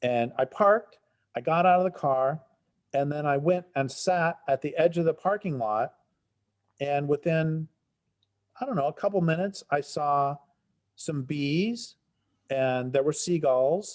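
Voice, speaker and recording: In a General American accent, a man with a fairly high voice talks at a fairly slow pace with ordinary pitch variation and long, frequent pauses against a quiet background. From Colorado, Front Range. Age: 60s. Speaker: environmental writer. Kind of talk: interview.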